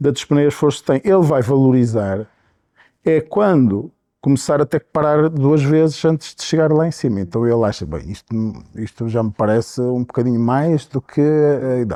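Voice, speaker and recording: Against a quiet background, a man with a dark, mellow tone talks at a moderate pace and medium pitch with ordinary pitch variation, the sound dry and close with no echo. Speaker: physician, pulmonology professor. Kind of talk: interview. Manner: hesitant, many fillers.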